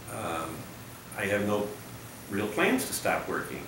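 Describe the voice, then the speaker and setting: Amid noticeable background noise, a speaker with an American accent talks at a fairly slow pace. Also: man. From Connecticut, USA. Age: 70s. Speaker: engineer. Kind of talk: audition video talk to camera. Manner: enthusiastic.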